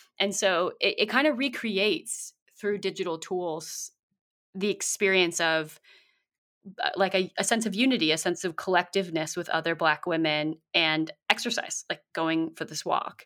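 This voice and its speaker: In a Californian accent, a woman speaks at a medium pitch and moderate pace with a bright, sharp tone. The recording is very clean, with a silent background. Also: ordinary pitch variation. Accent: Californian American. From US West Coast (San Francisco Bay Area, South Bay). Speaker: community building consultant and author. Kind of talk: interview.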